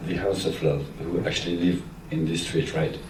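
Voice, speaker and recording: A man speaks with a French accent and ordinary pitch variation. There is noticeable background noise and audible room echo. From France. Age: 60s. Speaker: music photographer. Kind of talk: public Q&A conversation.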